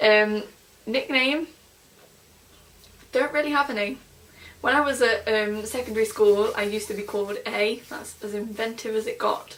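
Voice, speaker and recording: A woman with an East Midlands accent speaks at a moderate pace, her fairly high voice fairly even in intonation. Background noise is noticeable. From England, Nottingham. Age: 20s. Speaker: vlogger. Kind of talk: casual vlog. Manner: filler-heavy, chatty.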